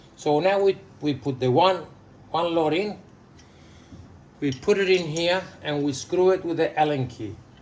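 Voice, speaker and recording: Speaking at a moderate pace with long, frequent pauses, a man with an Australian accent has a fairly high voice and ordinary pitch variation. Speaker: plumber. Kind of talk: DIY repair tutorial instruction. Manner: friendly.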